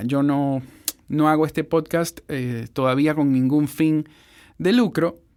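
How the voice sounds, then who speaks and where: In a very clean recording with a silent background, a man with a fairly high voice speaks at a very slow pace. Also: ordinary pitch variation. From Ecuador. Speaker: voice-over producer and podcast host. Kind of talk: podcast intro.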